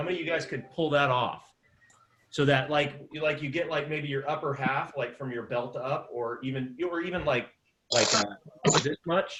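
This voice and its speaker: Moderate pace and fairly even intonation. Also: man, fairly high pitch for a man. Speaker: improv teacher. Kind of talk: online class. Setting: video call. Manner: loud. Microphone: external microphone, not laptop mic.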